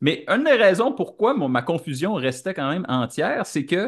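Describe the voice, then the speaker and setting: Over a quiet background, a man with a high pitch and a Quebec accent makes very wide pitch swings. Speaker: podcast co-host. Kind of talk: casual chat. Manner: halting, many hesitations.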